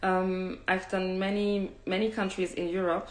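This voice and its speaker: A woman speaks at a fairly low pitch and a fairly slow pace. Audible room echo is present. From Cameroon. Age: 30s. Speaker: travel host. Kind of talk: live stream talk. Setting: online live session. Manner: halting, many fillers.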